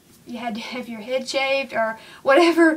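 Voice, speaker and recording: Noticeable background noise sits behind a woman speaking at a high pitch. Her pace is moderate and her intonation fairly even. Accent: Southern US. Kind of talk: casual how-to talk to camera. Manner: chatty, rambling, many fillers.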